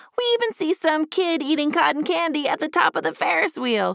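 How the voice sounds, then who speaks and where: A woman puts on a squeaky, high-pitched character voice at a fairly quick pace, recorded dry and close with no echo. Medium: read story. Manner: giggly, excitable.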